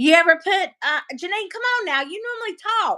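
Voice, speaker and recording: Speaking fairly slowly, a woman uses a Southern US accent. Her tone is bright and sharp, with very wide pitch swings. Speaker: live stream host. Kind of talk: casual chat. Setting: live stream.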